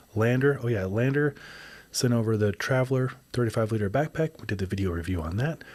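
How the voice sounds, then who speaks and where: Very fast talking from a man with a medium-pitched voice. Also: ordinary pitch variation. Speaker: outdoor gear reviewer and podcast host. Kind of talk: casual podcast monologue. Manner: casual, filler words.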